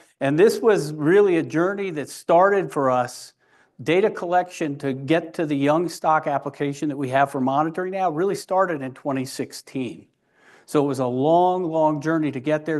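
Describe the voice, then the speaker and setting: Against a quiet background, a man speaks fairly quickly at a fairly high pitch with ordinary pitch variation. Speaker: agricultural technology business manager. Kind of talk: conference presentation. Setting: conference hall with audience. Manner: loud; casual, interactive.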